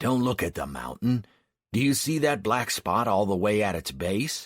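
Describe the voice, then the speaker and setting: Using a raspy, put-on character voice, a man speaks at a fairly low pitch with very wide pitch swings. His pace is moderate, and the recording is very clean with a silent background. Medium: read story.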